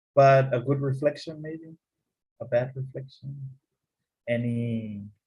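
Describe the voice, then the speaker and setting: Speaking at a fairly slow pace, a man with a dark, mellow, somewhat breathy tone keeps his intonation fairly even amid audible room echo. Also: medium pitch for a man. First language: Spanish. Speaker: English teacher. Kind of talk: online class lecture.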